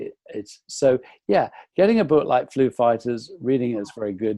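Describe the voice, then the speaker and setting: At a moderate pace, a man with an English accent speaks at a medium pitch in a dark, mellow tone, the sound dry and close with no echo. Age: 60s. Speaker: nutritionist. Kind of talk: interview. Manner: halting.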